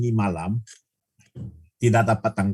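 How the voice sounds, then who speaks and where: The voice belongs to a man and sounds somewhat breathy. His pitch varies in an ordinary way. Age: 60s. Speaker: product presenter. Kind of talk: sales pitch. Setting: video call. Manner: halting.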